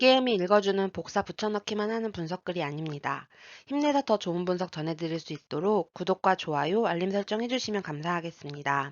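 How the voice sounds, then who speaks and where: A woman with a normal speaking voice talks at a medium pitch and a fairly quick pace, her intonation lively. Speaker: sports betting analyst. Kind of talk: scripted sports analysis narration.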